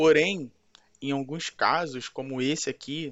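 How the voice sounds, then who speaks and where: Using a plain, everyday voice, the speaker goes at a fairly slow pace with ordinary pitch variation. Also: man. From Brazil, Rio de Janeiro. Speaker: pastor. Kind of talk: scripted Bible teaching.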